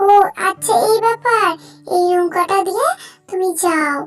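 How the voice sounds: A woman puts on a squeaky, cartoonish character voice at an extremely high pitch, speaking at a moderate pace.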